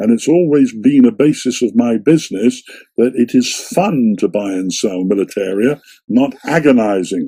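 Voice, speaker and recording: Dark and mellow in tone, a man speaks at a moderate pace. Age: 70s. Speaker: shopkeeper. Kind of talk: interview.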